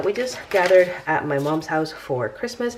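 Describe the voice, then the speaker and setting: Over noticeable background noise, a woman with a fairly low voice makes very wide pitch swings. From Venezuela. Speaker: personal finance YouTuber. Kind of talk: casual vlog chat while cash stuffing. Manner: casual, chatty.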